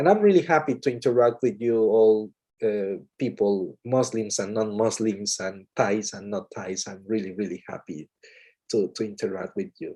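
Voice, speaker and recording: The background is quiet. The speaker moves at a moderate pace with ordinary pitch variation. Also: man, fairly low pitch for a man. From Mexico. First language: Spanish. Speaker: English teacher. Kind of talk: webinar talk. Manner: halting, repetitive.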